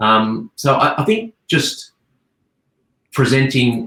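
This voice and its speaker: Bright and sharp in tone, a man speaks with an Australian accent. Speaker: advertising creative director. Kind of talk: panel Q&A discussion. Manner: halting, repeats words.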